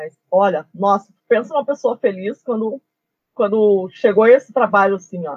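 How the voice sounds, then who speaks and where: With an ordinary speaking voice, a woman talks at a moderate pace and medium pitch, with ordinary pitch variation and big swings in loudness. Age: 50s. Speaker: geography teacher. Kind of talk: interview.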